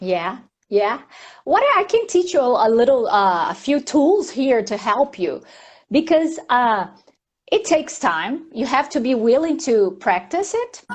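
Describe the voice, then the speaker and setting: A woman with a Portuguese accent speaks fairly slowly in a high voice. Her pitch swings very widely. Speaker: mindfulness teacher. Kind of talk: casual live chat. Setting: live stream.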